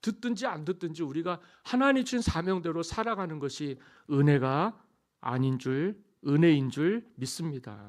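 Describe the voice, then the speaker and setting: At a moderate pace and against a quiet background, the voice moves through very wide pitch swings. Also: man. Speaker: pastor. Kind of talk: sermon. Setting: church.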